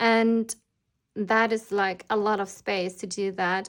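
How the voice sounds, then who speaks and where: A woman with a non-native accent and a medium pitch speaks at a very slow pace with ordinary pitch variation, on a very clean recording with a silent background. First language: not English. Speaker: planner designer and shop owner. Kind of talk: product flip-through tutorial. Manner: casual with frequent fillers.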